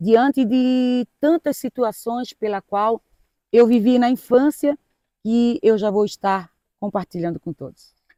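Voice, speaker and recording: A woman with a fairly high pitch and a dark, mellow tone speaks at a fairly slow pace, her loudness swinging widely. Her pitch varies in an ordinary way, and the sound is dry and close with no echo. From Florianópolis, Santa Catarina, southern Brazil. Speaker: pastor. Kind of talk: testimony.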